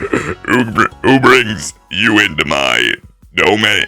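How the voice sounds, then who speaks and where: A man's put-on character voice, fairly low in pitch, at a very slow pace over faint background music. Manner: monstrous, booming.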